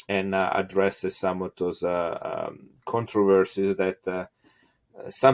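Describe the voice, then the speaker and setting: A man speaks with an Italian accent at a fairly low pitch. His pace is fairly slow, and the sound is dry and close with no echo. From Italy. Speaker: geneticist. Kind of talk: interview. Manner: halting, many fillers.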